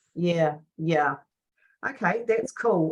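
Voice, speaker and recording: Fairly low in pitch with ordinary variation, this woman has a normal speaking voice. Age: 60s. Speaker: health coach. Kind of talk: coaching conversation.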